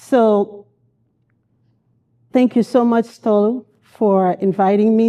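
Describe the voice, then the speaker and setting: With a dark, mellow tone and fairly high pitch, a woman speaks very slowly in a monotone, flat intonation, with very even loudness and long, frequent pauses. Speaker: mental health counselor. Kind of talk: conference talk.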